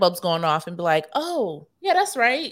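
A woman at a moderate pace and medium pitch, in an ordinary speaking voice. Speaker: radio host and political strategist. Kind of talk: radio interview.

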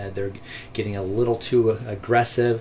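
His voice is somewhat breathy. The speaker, a man, sits at a medium pitch. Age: 40s. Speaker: real estate agent. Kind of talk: interview.

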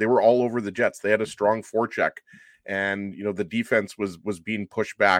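With a normal speaking voice, a man talks at a fairly quick pace in a fairly low pitch and fairly even intonation, the sound dry and close with no echo. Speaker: hockey pundit. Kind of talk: casual chat. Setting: video call.

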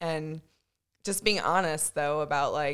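A woman with an American accent speaks in a fairly low voice at a moderate pace, with ordinary pitch variation. It is an unremarkable speaking voice on a very clean recording with a silent background. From Virginia, US. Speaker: guest. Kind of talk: casual chat.

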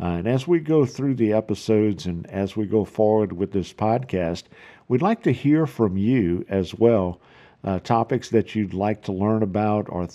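This man talks with a fairly low pitch and ordinary pitch variation. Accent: South Louisiana. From South Louisiana. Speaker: podcast host. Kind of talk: solo podcast monologue. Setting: home office. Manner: halting, many fillers.

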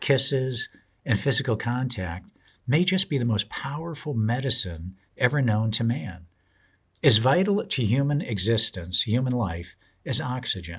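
Vocal fry runs through this man's fairly slow delivery, captured on a very clean recording with a silent background. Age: 60s. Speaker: retirement planning radio host. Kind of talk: podcast monologue.

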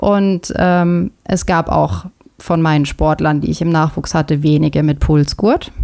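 With ordinary pitch variation, a woman's speech unfolds at a fairly slow pace. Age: 30s. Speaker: triathlon coach. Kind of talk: casual chat.

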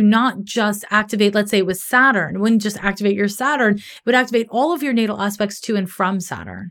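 A woman with a fairly high pitch sounds animated in a very clean recording with a silent background. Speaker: astrologer. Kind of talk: casual interview chat. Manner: animated, talkative.

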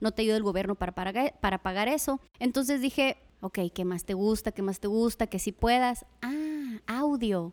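On a very clean recording with a silent background and a dry, close sound with no echo, a woman with a fairly high pitch speaks in an animated tone at a moderate pace, with ordinary pitch variation. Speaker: radio host. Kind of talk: interview.

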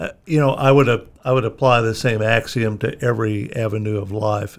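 A man with an American accent has a normal speaking voice, fairly low in pitch. He keeps a moderate pace on a very clean recording with a silent background. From Missouri, US. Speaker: former state politician. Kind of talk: casual interview.

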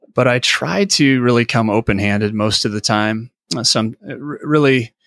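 A man with an American accent and a normal speaking voice, medium in pitch and fairly slow, in a dry, close sound with no echo and a very clean recording over a silent background. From US Midwest, Illinois (Mississippi River Valley). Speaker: senior pastor. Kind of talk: interview conversation.

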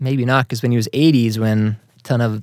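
A man speaks with a slight Boston accent. The sound is dry and close, with no echo. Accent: general American, little trace of Boston. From Massachusetts, US. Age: 30s. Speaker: Facebook group and website operator, accountant. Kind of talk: casual interview chat.

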